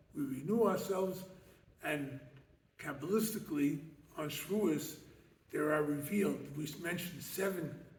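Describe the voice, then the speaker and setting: Amid audible room echo, a man with an American accent speaks fairly slowly at a fairly high pitch, with ordinary pitch variation. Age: 70s. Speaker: rabbi and lecturer. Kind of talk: lecture. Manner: animated, rhetorical questions.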